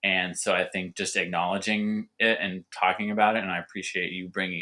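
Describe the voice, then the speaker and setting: A man with a Californian accent speaks in a bright, sharp tone and monotone, flat intonation, on a very clean recording with a silent background. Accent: Californian American English. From Southern California. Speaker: winemaker and cider maker. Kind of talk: podcast interview. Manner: halting, repetitive.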